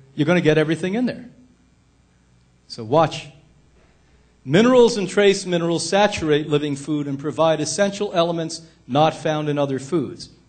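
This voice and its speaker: Speaking at a moderate pace with long, frequent pauses, a man with a fairly high voice uses ordinary pitch variation, and audible room echo surrounds him. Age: 60s. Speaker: health institute director and speaker. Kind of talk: lecture. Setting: stage with audience. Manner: loud; animated.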